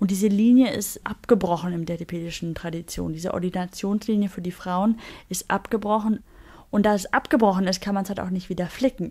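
A woman with a dark, mellow tone and a somewhat breathy delivery talks at a fairly quick pace on a very clean recording with a silent background. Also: medium pitch for a woman, ordinary pitch variation. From Germany. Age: 20s. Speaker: buddhist nun. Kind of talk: interview.

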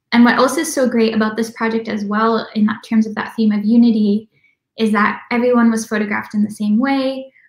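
With a monotone, flat intonation and an American accent, the speaker moves at a fairly quick pace against a quiet background with audible room echo. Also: woman. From Minnesota, US Midwest. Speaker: documentary filmmaker; guest. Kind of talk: interview. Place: home room. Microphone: video call.

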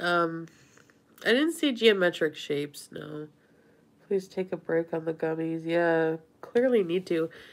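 Her pitch fairly low, a woman speaks with ordinary pitch variation. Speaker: vlogger. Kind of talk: casual livestream chat. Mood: sheepish, relaxed storytelling. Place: home room. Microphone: phone near.

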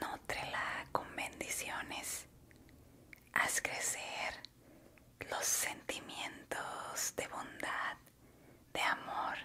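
Long, frequent pauses break up the speech. A woman whispers very slowly. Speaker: ASMR creator and meditation guide. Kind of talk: ASMR guided relaxation talk. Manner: soft-spoken, slow, calm. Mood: warm, encouraging. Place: home room. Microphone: studio mic.

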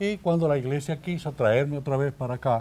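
A man with a Dominican accent speaks at a moderate pace, his fairly high voice dark and mellow in tone, with lively intonation. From Dominican Republic, Salcedo; Dominican Republic. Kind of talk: interview; interview answer. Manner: halting. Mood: warm, content, grateful. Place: studio. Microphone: lapel.

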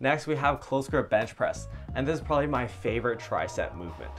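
A man talks at a very fast pace with faint music in the background. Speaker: fitness coach. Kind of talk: tutorial. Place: home room. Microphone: lapel.

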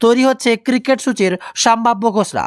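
The voice moves at a fast pace. Its tone is clear, smooth and fairly bright.

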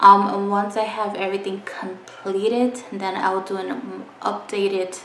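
There is light background noise and audible room echo as a woman talks at a fairly slow pace. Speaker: beauty vlogger. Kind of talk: casual vlog chat. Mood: excited, friendly. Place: home room. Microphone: phone near.

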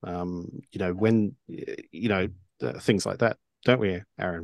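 The background is quiet and the sound is dry, with no echo. A man speaks at a fairly low pitch with ordinary pitch variation. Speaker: co-host and game master; co-host. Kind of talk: casual chat. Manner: halting, many fillers. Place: home room. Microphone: studio mic.

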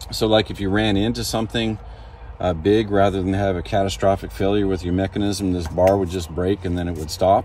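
Very deep and low, a man's voice moves at a fairly quick pace with fairly even intonation. The sound is dry with no echo, over light background noise. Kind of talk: tutorial. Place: farm machine. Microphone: phone near.

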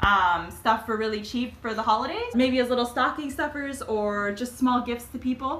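Her tone is bright and sharp, with ordinary pitch variation. The woman keeps a moderate pace.

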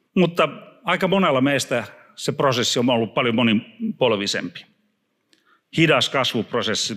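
A man's lively intonation comes through clearly over a quiet background. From Finland. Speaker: preacher. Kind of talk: sermon. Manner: halting. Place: church. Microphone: handheld.

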